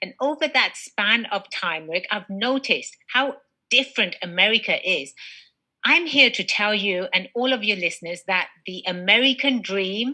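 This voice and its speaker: A woman with an English accent and a bright, sharp tone, animated, with lively intonation at a moderate pace. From England. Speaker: business attorney. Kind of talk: interview.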